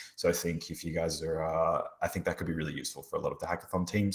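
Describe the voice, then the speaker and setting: The speaker talks at a very fast pace in an Australian accent. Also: man. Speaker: blockchain researcher and hackathon mentor. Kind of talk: workshop presentation. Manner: casual, many filler words.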